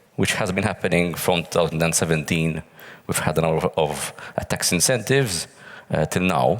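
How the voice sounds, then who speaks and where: Over noticeable background noise, a man speaks fairly quickly in a very deep, low pitch with ordinary pitch variation and very even loudness. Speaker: pensions working group member. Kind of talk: panel interview. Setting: stage with audience.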